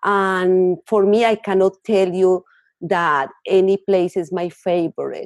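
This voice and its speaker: A woman speaks at a fairly slow pace with a Colombian accent. Her pitch is medium, and the sound is dry and close with no echo. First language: Spanish. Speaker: author and counselor. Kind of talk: interview.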